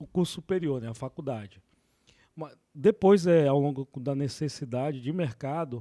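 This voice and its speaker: A man speaks at a fairly slow pace in a dark, mellow tone with ordinary pitch variation. The recording is very clean, with a silent background. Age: 30s. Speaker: environmental management technologist, drone surveyor. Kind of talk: interview.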